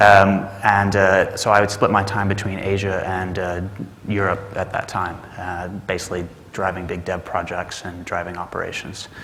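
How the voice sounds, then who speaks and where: In a Texas accent, a man speaks in a very deep, low monotone at a moderate pace, with audible room echo and noticeable background noise. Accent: American (Texas). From Texas, Dallas. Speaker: management consultant. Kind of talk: conference talk. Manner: hesitant with many fillers.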